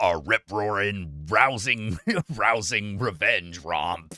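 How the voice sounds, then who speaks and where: A man's put-on character voice, fairly low in pitch, at a very slow pace. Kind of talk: movie trailer voiceover. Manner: dramatic, straight-faced.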